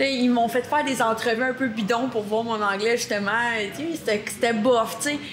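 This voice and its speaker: Amid noticeable background noise and audible room echo, a woman talks at a moderate pace with a fairly high pitch. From Quebec. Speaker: monster truck driver. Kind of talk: podcast interview. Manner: energetic.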